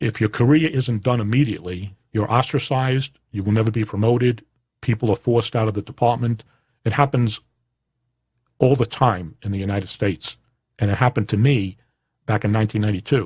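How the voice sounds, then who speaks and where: A somewhat breathy man's voice at a medium pitch with an American accent, at a fairly quick pace with long, frequent pauses and ordinary pitch variation, on a very clean recording with a silent background. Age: 60s. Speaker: podcast host, former police officer. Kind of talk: personal monologue. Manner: halting, many fillers.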